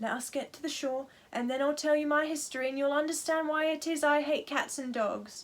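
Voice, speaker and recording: Using a put-on character voice, a woman talks at a fairly quick pace, high in pitch and shaky. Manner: passionate, indignant.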